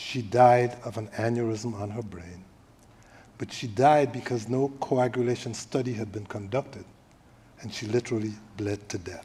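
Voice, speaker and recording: At a moderate pace, a man speaks in a dark, mellow, somewhat breathy tone with medium pitch, fairly even intonation and big swings in loudness. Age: 70s. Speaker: panel moderator. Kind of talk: panel discussion. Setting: stage with audience at a library event.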